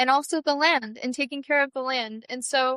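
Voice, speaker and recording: In a dry, close sound with no echo, a woman projects a raised voice with a bright, sharp tone, a high pitch and monotone, flat intonation. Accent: American. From Cheyenne reservation area, US West. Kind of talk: interview.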